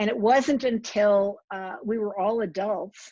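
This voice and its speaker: A plain, everyday voice from a woman with an American accent, medium in pitch, with fairly even intonation. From New Jersey, Somerset County. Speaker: author. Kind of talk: author talk.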